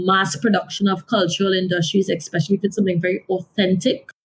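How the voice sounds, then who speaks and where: A woman with a Caribbean accent speaks in a somewhat breathy voice. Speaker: author and development consultant. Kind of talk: interview.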